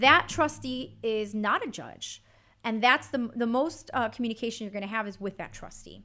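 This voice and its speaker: A woman speaks at a fairly high pitch in a bright, sharp tone, with big swings in loudness. The recording is very clean, with a silent background. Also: ordinary pitch variation, moderate pace. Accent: Chicago. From Chicago. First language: Spanish. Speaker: bankruptcy attorney. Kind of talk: interview answer.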